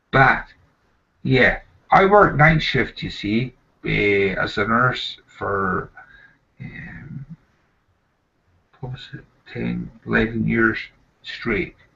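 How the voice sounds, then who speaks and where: Speaking very slowly with a Scottish accent, a man leaves long, frequent pauses, and his loudness swings widely. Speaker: nurse. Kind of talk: casual chat. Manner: halting.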